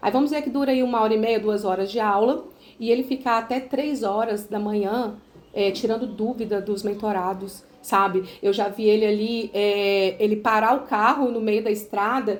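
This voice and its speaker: Speaking in a Minas Gerais accent, a woman keeps fairly even intonation at a moderate pace and a fairly high pitch. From Minas Gerais, Brazil (Itabira). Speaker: sales representative for a business mentorship. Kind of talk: sales pitch on a phone call. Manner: hesitant, many fillers.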